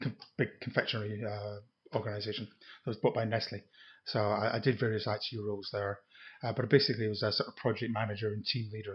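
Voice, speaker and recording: A man's fairly low, somewhat breathy voice at a very fast pace, flat and monotone. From Scotland, Edinburgh. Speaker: retired IT project manager. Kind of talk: casual chat. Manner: halting.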